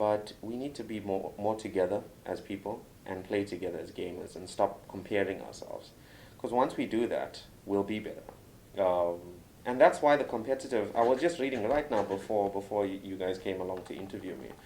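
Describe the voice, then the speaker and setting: A man with a South African accent speaks at a fairly quick pace in a fairly low, dark, mellow tone with ordinary pitch variation. His loudness swings widely. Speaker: doctor and game reviewer. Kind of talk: interview. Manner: animated.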